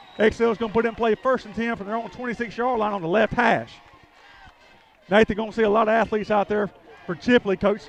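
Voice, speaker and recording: Against noticeable background noise, a man with a high pitch talks very fast yet with long, frequent pauses, his intonation fairly even, recorded dry and close with no echo. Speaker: play-by-play announcer. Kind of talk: live commentary.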